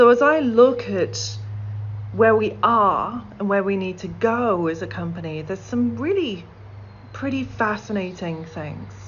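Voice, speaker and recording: A woman speaks at a fairly slow pace with big swings in loudness, amid audible room echo and noticeable background noise. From middle of England. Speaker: corporate accessibility executive. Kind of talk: conference keynote talk.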